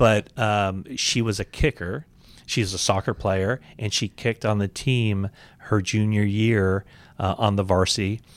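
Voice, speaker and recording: Over a very clean recording with a silent background, a man in an ordinary speaking voice talks at a fairly slow pace and fairly low pitch, with fairly even intonation and a dry, close sound with no echo. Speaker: sports podcast host. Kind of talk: interview.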